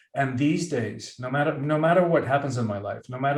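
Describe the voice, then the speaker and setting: Here a man's voice is somewhat breathy. His intonation is fairly even. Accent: Spanish. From Cuba. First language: Spanish. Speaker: author and professional speaker. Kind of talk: podcast interview.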